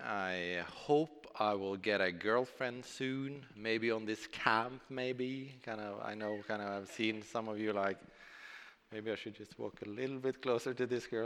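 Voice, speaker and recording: Moderate pace, fairly even intonation, and a Norwegian accent. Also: man. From southern Norway. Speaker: preacher. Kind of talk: sermon.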